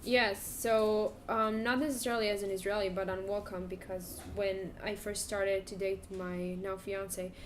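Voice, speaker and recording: A woman speaks with hardly any pauses and fairly even intonation. Audible room echo fills the recording. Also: medium pitch for a woman, moderate pace. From Israel. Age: 20s. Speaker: graduate student. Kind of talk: interview.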